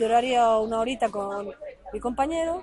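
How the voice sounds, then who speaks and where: A woman talks while noticeable noise fills the background. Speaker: life coach. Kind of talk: casual chat. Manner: stuttering.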